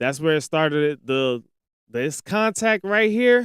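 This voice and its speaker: Loud and very slow, a man speaks at a fairly high pitch with very wide pitch swings, captured dry and close with no echo. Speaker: sports podcast host. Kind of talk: live football film breakdown. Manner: animated.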